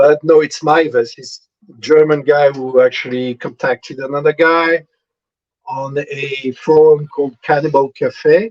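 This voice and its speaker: With a French accent and a fairly high pitch, a man speaks at a fairly slow pace with fairly even intonation, big swings in loudness, and a dry, close sound with no echo. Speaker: convicted killer, artist. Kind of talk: live interview. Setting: video call. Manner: hesitant, many fillers.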